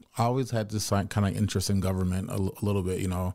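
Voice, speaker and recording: On a very clean recording with a silent background, a man with a fairly low pitch and a dark, mellow tone speaks very fast in a monotone, flat delivery. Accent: American. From US South, Memphis, Tennessee. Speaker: dispensary co-owner. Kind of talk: podcast interview.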